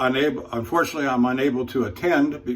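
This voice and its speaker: Speaking with an American accent, a man keeps a medium pitch and a fairly quick pace. There is audible room echo. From US Pacific Northwest, Portland, Oregon. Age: 60s. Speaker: truck driver and shaving channel host. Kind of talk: casual talk to camera while shaving. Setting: hotel room. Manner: halting, many fillers.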